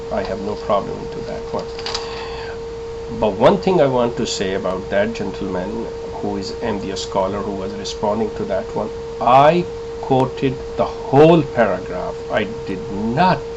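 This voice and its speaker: A man speaks with a Pakistani accent, leaving long, frequent pauses. Audible room echo and noticeable background noise surround him. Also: moderate pace. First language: Urdu. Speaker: religious commentator, ex-member of a sect. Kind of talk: video monologue, religious rebuttal. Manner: hesitant, many filler sounds.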